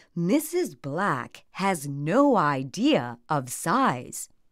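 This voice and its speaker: A woman's put-on character voice, fairly low-pitched, with very wide pitch swings at a very slow pace, in a very clean recording with a silent background. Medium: read story. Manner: angry, contrary.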